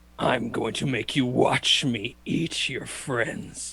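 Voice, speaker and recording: A man puts on a gruff character voice at a medium pitch. He speaks at a very slow pace. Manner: menacing.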